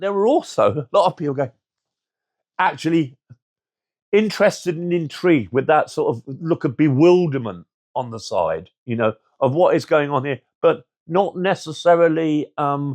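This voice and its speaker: Speaking at a moderate pace with long, frequent pauses, a man with a London accent and a fairly high pitch shows ordinary pitch variation in a dry, close sound with no echo. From London (Brixton). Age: 60s. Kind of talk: documentary interview testimony. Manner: halting with many fillers.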